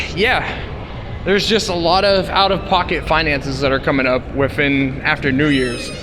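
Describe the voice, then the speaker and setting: Speaking at a moderate pace with ordinary pitch variation, a man is heard with audible room echo and noticeable background noise. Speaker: vlogger. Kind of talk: vlog narration. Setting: outdoors walking on street. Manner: stutter; casual, filler-heavy.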